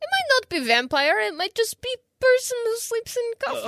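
Extremely high pitch in a put-on character voice, delivered at a moderate pace. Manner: mock-dramatic.

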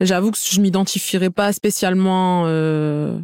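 Here a woman talks at a very slow pace. The sound is dry and close, with no echo. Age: 30s. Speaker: hair salon owner. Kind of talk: casual chat.

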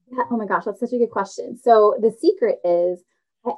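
A woman's voice at a moderate pace. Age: 40s. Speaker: career break coach. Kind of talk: casual interview. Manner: animated.

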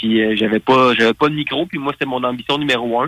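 At a moderate pace, a man talks in a bright, sharp tone, the sound dry and close with no echo. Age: 40s. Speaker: pro wrestler and radio host. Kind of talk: interview.

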